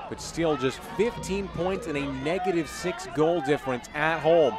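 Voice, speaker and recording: Behind this man's voice, music is playing. His pitch is high. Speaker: soccer play-by-play commentator. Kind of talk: live soccer commentary. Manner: dramatic, flowery.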